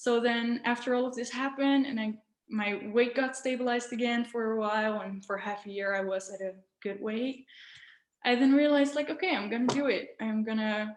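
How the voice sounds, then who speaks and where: Speaking at a fairly quick pace with a non-native accent, a woman has a high pitch and fairly even intonation. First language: not English. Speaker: raw vegan influencer. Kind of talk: interview. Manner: hesitant, many fillers.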